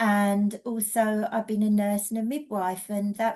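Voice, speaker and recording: A woman speaks in an English accent at a medium pitch. Her tone is dark and mellow, and her pace is fairly slow. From England. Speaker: energy healing teacher and mentor. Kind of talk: casual webinar presentation.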